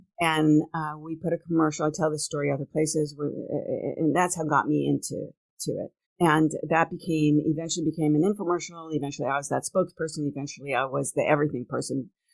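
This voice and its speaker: Music plays in the background as a woman talks at a very fast pace. Her pitch is very deep and low, and her intonation is monotone and flat. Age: 60s. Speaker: entrepreneur and podcast host. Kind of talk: casual interview chat.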